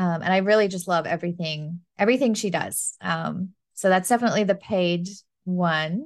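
Against a quiet background, a woman with a normal speaking voice talks at a moderate pace and medium pitch, with ordinary pitch variation. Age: 30s. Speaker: business and marketing coach. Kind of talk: casual interview chat.

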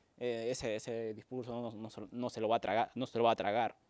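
A man talks at a moderate pace in a flat, monotone way. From Peru. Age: 20s. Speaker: podcast co-host. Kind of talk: casual chat. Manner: halting.

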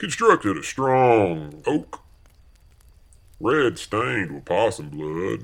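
A man speaks at a very slow pace with a rural Southern US accent, in a very clean recording against a silent background. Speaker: comedic audio-drama character.

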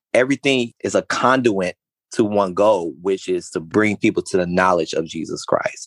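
A plain, everyday voice with ordinary pitch variation speaks at a moderate pace, in a dry, close sound with no echo. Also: man, fairly low pitch for a man. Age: 30s. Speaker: pastor. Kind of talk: interview about faith.

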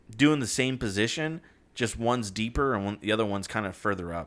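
Here is a man with a plain, everyday voice. His pitch is medium, with ordinary variation. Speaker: sports podcast host. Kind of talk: casual sports banter.

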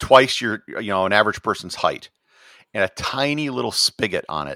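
A man with an American accent talks at a moderate pace in a bright, sharp tone with ordinary pitch variation. The recording is very clean, with a silent background and a dry, close sound with no echo. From US Midwest, Wisconsin. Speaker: travel blogger and tour operator. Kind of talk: casual interview chat.

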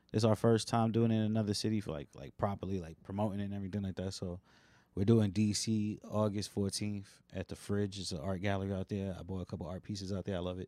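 A man's very fast, fairly low-pitched speech, dark and mellow in tone, with fairly even intonation and a dry, close sound with no echo. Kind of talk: casual chat. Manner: laid back.

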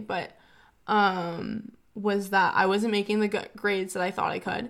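A woman speaks with vocal fry and a monotone, flat intonation at a moderate pace. The recording is very clean, with a silent background. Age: young. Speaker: recent high school graduate. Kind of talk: casual chat.

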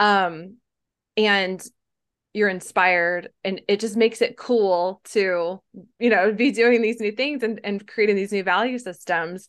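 With an ordinary speaking voice at a medium pitch, a woman speaks at a fairly slow pace with fairly even intonation. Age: 40s. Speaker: health and wellness coach. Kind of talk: interview.

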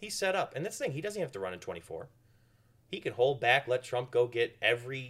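Animated and bright, sharp in tone, a man with a Midwestern American accent talks with ordinary pitch variation. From US Midwest (northeast Ohio, Cleveland area). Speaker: local political organizer. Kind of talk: casual chat. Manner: jokey, animated.

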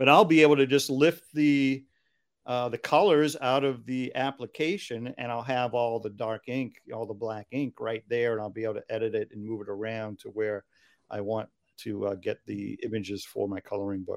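In a very clean recording with a silent background and a dry, close sound with no echo, a man with an American accent and an unremarkable speaking voice talks at a medium pitch and moderate pace, with ordinary pitch variation. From Massachusetts, US. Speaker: children's book author and songwriter. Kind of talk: interview.

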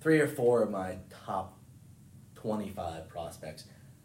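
A man with an American accent and lively intonation, with audible room echo. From rural western Maryland (Cumberland). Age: 20s. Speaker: college baseball player. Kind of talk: casual chat.

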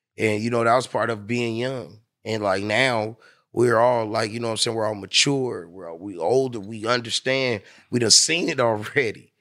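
A man with an American accent speaks in a plain, everyday voice at a medium pitch and moderate pace. His pitch variation is ordinary, his loudness swings widely, and the recording is very clean with a silent background. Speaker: radio host and PR co-CEO. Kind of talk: casual interview chat.

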